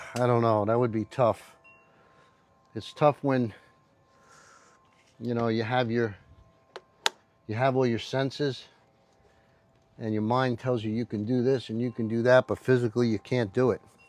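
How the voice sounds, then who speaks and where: Speaking at medium pitch and a moderate pace, a man talks in a monotone, flat way with long, frequent pauses, the sound dry and close with no echo. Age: 70s. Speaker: motorcycle mechanic and rider. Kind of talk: casual livestream chat while working. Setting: TikTok live while cleaning bike. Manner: casual, hesitant with many fillers.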